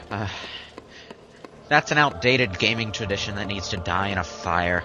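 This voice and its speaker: A man speaks at a moderate pace with a fairly low pitch. Noticeable noise sits in the background. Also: ordinary pitch variation. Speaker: gaming commentator. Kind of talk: casual chat.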